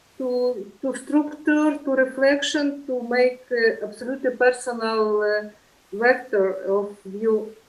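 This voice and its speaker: In a Polish accent, a woman with a high pitch speaks at a very slow pace with ordinary pitch variation. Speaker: lecture series moderator. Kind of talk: online lecture discussion. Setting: video call. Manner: halting, many fillers.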